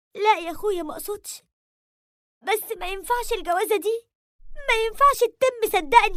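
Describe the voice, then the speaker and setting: Putting on a character voice, a woman speaks at an extremely high pitch and a moderate pace, shaky and swinging widely in loudness, with long, frequent pauses. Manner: frightened, subdued.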